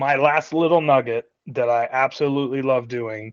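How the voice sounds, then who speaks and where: In a dry, close recording with no echo and a quiet background, a man speaks in a fairly high voice with fairly even intonation. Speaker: realtor. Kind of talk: team meeting talk. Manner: loud.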